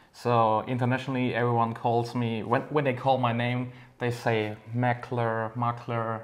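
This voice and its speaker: This man has a non-native accent and a medium pitch. His delivery is fairly slow, with monotone, flat intonation. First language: not English. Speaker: RC racer and parts maker. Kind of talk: casual interview.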